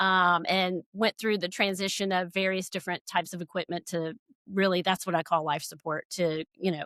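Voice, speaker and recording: At a moderate pace, a bright, sharp voice keeps a monotone, flat intonation, dry and close with no echo on a very clean recording with a silent background. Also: woman. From US South, Georgia. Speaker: critical care nurse and expert witness. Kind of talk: podcast interview. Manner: hesitant, many fillers.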